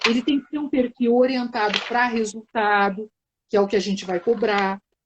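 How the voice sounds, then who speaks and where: A woman speaks with a southern Brazilian accent and a fairly high pitch. Her intonation stays fairly even. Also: moderate pace. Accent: southern Brazilian (gaúcho). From southern Brazil, Porto Alegre. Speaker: team development consultant in public service. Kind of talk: live webinar conversation.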